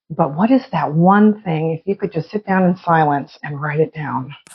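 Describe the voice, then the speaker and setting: The voice is somewhat breathy, with a dark, mellow tone. Its pitch variation is ordinary. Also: woman. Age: 60s. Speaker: podcast co-host. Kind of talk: casual chat.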